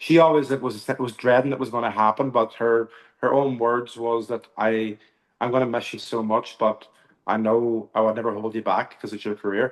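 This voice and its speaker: In an Irish accent, a man talks at a moderate pace with a medium pitch. His intonation is monotone and flat. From Northern Ireland, Belfast area. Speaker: country singer. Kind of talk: interview.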